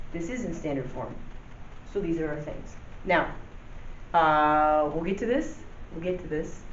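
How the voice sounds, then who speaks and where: A woman speaks in a very deep, low voice at a moderate pace. Her pitch variation is ordinary, and audible room echo is present. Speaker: math teacher. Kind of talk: tutorial. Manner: casual, many fillers.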